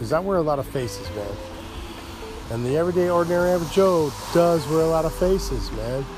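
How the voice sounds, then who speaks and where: Music plays behind a man talking very fast with ordinary pitch variation. His speech has long, frequent pauses. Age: 50s. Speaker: podcast host. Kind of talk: casual solo talk show monologue. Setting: outdoors, front porch. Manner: rambling, jokey, informal.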